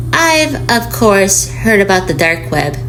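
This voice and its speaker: A woman talks at a moderate speed with noticeable noise behind her. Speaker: voice actor. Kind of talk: horror story reading.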